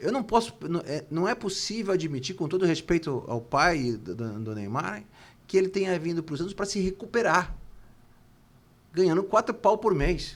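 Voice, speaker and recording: Using very wide pitch swings, a man with a high pitch talks at a moderate pace. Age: 60s. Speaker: football club politician, former presidential candidate. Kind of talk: interview. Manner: halting, repeats words.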